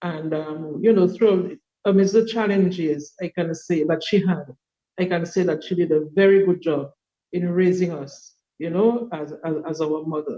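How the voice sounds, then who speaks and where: Her voice is fairly low for a woman, with a dark, mellow tone. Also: fairly even intonation, moderate pace. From Dominica. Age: 60s. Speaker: podcast guest. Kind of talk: interview storytelling. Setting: video call.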